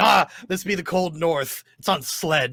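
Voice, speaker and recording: Using a gruff, put-on character voice, a man speaks at a high pitch and a fairly slow pace. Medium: actual play. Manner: gruff, says mate.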